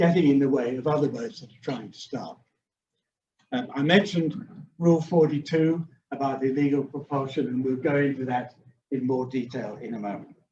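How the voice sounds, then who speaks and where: A man with a fairly high, somewhat breathy voice and a dark, mellow tone speaks at a moderate pace, showing ordinary pitch variation and big swings in loudness. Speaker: sailing judge and racing rules instructor. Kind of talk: training webinar lecture. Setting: hybrid Zoom webinar with a live room audience.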